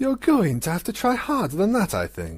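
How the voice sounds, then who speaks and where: A man uses a put-on character voice at a high pitch. He drawls at a moderate pace with very wide pitch swings. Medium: read story. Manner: lazy, drawling, nonchalant.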